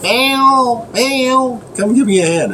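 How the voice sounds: In a put-on character voice, a female-sounding speaker goes squeaky and high-pitched for a woman amid clear background noise.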